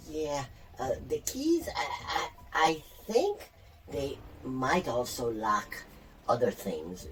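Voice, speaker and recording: In a put-on character voice with a nervous tone, the speaker goes at a very slow pace over clear background noise. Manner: nervous, hesitant.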